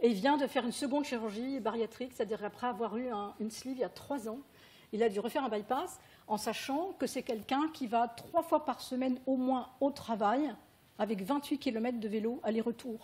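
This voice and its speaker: A woman talks at a fairly quick pace in a high voice with a dark, mellow tone. Her pitch varies in an ordinary way. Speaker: patient partner speaking at a medical conference. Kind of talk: conference talk. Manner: fast.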